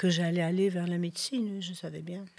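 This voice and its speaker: The woman speaks with a monotone, flat intonation. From Belgium, Liège and Brussels. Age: 70s. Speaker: doctor. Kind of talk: interview. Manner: halting.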